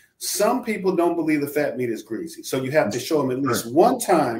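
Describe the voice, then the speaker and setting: Speaking with an American accent at a fairly quick pace, a man with a fairly high pitch shows vocal fry. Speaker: podcast host. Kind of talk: casual conversation, opinionated talk show. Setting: live stream.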